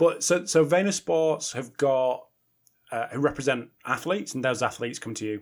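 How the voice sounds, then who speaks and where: With a British accent, a man speaks at a moderate pace, medium in pitch with lively intonation. The recording is very clean, the background silent. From Britain. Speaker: podcast host. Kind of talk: interview.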